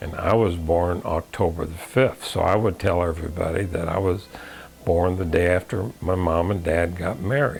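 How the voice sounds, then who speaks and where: A man speaks with an American accent at a moderate pace, his pitch very deep and low. His intonation stays fairly even, and there is noticeable background noise. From US Midwest, Illinois. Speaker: navy veteran. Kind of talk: personal life story. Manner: halting, many fillers.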